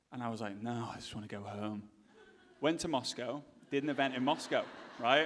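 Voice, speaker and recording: A man with an English accent at medium pitch, fairly quick between long, frequent pauses, with ordinary pitch variation and big swings in loudness. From England. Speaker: speaker at a business event. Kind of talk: storytelling talk.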